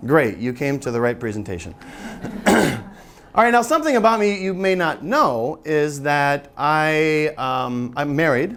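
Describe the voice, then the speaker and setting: A loud man with an American accent speaks at a fairly slow pace, his pitch swinging very widely, amid noticeable background noise and audible room echo. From US Midwest, Michigan. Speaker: English teacher, seminar presenter. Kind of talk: teacher-training seminar talk. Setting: seminar room with audience, no microphone.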